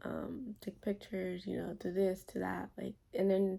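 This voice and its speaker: Whispering, a woman is soft-spoken. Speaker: vlogger, first-time mom. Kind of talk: casual Q&A vlog. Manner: whispering, soft; hesitant, filler-heavy.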